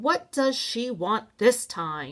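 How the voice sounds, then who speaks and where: Using a put-on character voice, a woman speaks at a fairly high pitch in a raised, projected voice. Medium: read story. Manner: curt.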